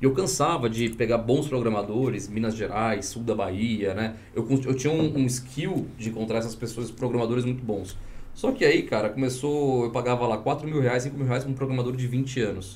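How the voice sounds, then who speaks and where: With hardly any pauses, a somewhat breathy man speaks at a moderate pace with ordinary pitch variation and audible room echo. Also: medium pitch for a man. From Espírito Santo, Brazil. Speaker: tech entrepreneur and former government official. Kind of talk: podcast interview.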